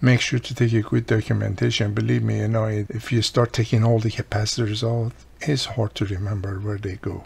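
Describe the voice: The voice has vocal fry and a slightly mellow tone. It moves at a fairly quick pace with little pitch movement. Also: man, fairly low pitch for a man.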